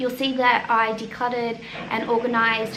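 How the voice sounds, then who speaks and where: Audible room echo and noticeable background noise accompany this woman, who talks at a moderate pace. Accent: Australian. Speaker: mum vlogger. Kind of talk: casual chat.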